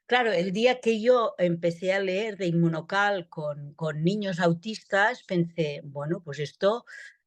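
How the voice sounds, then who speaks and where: Her pitch rises and falls in an ordinary way. The woman's delivery is very slow. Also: medium pitch for a woman. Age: 70s. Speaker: pediatric gastroenterologist. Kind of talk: interview.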